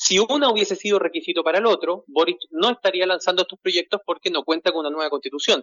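A man's high voice with a Chilean accent, very fast and with hardly any pauses, his pitch varying in an ordinary way. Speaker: journalist. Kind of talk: phone interview.

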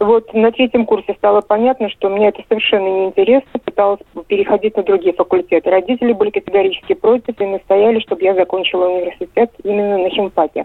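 Speech runs at a very fast pace with fairly even intonation and very even loudness. Noticeable background noise sits behind it. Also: woman, medium pitch for a woman. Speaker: journalist. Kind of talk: phone-in call. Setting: phone call.

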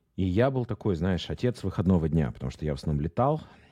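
The man's voice has a dark, mellow tone. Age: 40s. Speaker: marketing executive. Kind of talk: casual interview.

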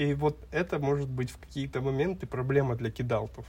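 Somewhat breathy, this voice keeps an unhurried, middling tempo. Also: man. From Kazakhstan, Almaty. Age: 20s. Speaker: podcast co-host. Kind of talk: casual chat.

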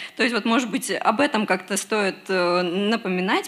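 Speaking at a moderate pace in a fairly high voice, a woman is heard over noticeable background noise. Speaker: audience member. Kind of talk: question from audience. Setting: stage with audience.

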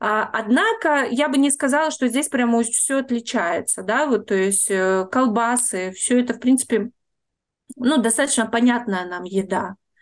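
A woman's high voice at a fairly slow pace with ordinary pitch variation, over a quiet background. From Russia, Saint Petersburg. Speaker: tour guide, emigrant. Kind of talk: interview.

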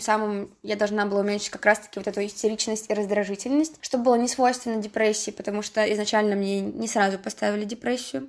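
This is a plain, everyday voice moving at a fairly quick pace. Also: woman. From Russia, Saint Petersburg. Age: 20s. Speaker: university student sharing depression story. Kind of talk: personal testimony.

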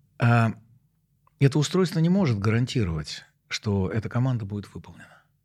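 A man speaks at a moderate pace in a medium pitch, his somewhat breathy voice swinging very widely in pitch and broken by long, frequent pauses, on a very clean recording with a silent background. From Moscow, Russia. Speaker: professor. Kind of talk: interview. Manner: halting.

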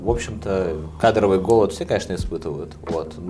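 A man talks at a fairly quick pace. Noticeable background noise and audible room echo accompany him. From Moscow, Russia. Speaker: flooring company executive. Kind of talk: casual interview chat.

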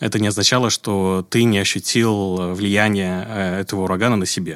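A man talks at a fairly slow pace in a fairly low pitch with ordinary pitch variation. The recording is very clean, with a silent background. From Uzbekistan, Tashkent. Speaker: architect and urbanist. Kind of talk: casual interview. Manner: hesitant, many fillers.

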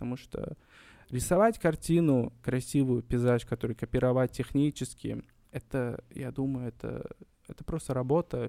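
This man has a medium pitch and a dark, mellow tone, speaking at a moderate pace with fairly even intonation but big swings in loudness, captured with a dry, close sound and no echo. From Uzbekistan, Kokand, Fergana Valley. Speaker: painter. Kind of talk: interview.

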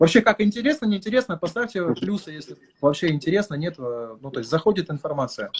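This man talks at a fairly quick pace in a high pitch, with very wide pitch swings. The sound is dry and close, with no echo. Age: 30s. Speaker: marketing consultant. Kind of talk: live stream talk.

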